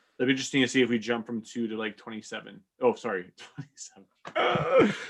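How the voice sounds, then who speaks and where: A man speaks very fast at a medium pitch, his intonation fairly even while his loudness swings widely. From Canada, Portuguese-speaking household. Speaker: musician. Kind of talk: casual chat. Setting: live stream.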